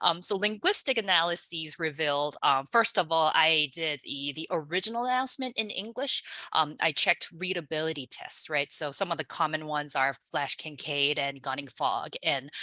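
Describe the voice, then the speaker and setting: This woman speaks with a Korean accent, her voice very deep and low in pitch with a bright, sharp tone. Her intonation is lively and she hardly pauses at all. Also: moderate pace. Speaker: linguistics researcher. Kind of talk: webinar presentation. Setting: online webinar. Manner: hesitant, many fillers.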